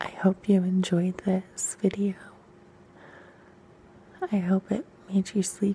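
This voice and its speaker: Speaking at a very slow pace, a woman keeps her intonation flat and monotone. Light background noise can be heard. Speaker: ASMR reader. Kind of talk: soft reading aloud. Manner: intimate close-mic whisper.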